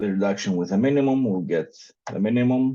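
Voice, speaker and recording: A man's dark, mellow tone with a non-native accent and ordinary pitch variation. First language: not English. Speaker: meetup organizer presenting a paper. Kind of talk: technical presentation with live coding. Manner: hesitant, many fillers.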